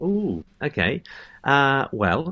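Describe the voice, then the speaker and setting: Over a quiet background, a man talks with lively intonation in a New Zealand accent. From Christchurch, New Zealand. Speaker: professional singer. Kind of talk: casual interview chat. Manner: hesitant, filler-heavy.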